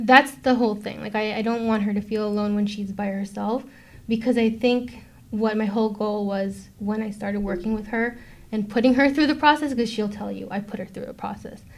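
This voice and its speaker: Somewhat breathy and fairly high-pitched, a woman with an American accent speaks with fairly even intonation. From New York (Brooklyn). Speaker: film producer. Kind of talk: interview.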